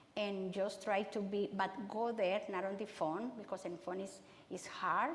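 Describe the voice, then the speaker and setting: In a room with audible echo, a woman speaks at a fairly slow pace and medium pitch with fairly even intonation. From Honduras. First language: Spanish. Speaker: city councilmember and migrant education worker. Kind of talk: public talk Q&A. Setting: church talk with audience. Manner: halting, many repetitions and fillers.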